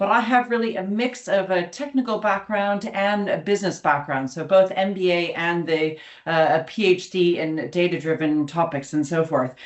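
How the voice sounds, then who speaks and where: In an ordinary speaking voice, a woman of medium pitch speaks at a moderate pace with an American accent, lively intonation and hardly any pauses. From United States. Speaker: academic, summer school co-director. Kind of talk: online information webinar presentation. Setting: webinar.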